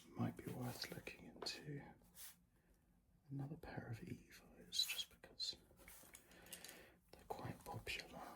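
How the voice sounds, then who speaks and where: The speaker whispers at a fairly slow pace with long, frequent pauses. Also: man. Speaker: ASMR content creator playing a running shop assistant. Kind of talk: ASMR roleplay. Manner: soft-spoken, whispered.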